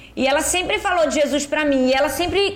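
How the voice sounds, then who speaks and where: A woman speaks over noticeable background noise. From Northeast Brazil. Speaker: pastor. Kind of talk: casual chat.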